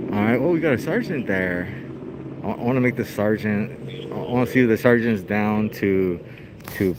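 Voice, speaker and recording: Noticeable background noise sits behind a man speaking at a fairly slow pace. His fairly low voice has lively intonation. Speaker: first amendment auditor filming police. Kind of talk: casual commentary to camera. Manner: loud; casual slangy, halting with repetitions.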